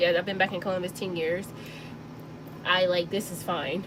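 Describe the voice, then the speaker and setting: A woman with an American accent speaks with monotone, flat intonation over noticeable background noise. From US South, Mississippi Delta. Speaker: sewing channel host. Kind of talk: casual chat during live stream. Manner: casual, filler-heavy.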